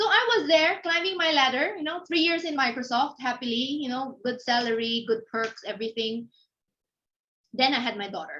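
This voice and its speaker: A raised, projected voice with a bright, sharp tone carries lively intonation at a moderate pace. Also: woman, high pitch for a woman. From Philippines (Manila). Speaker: entrepreneur, business founder. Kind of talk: interview talk at networking session. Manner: casual, conversational with fillers.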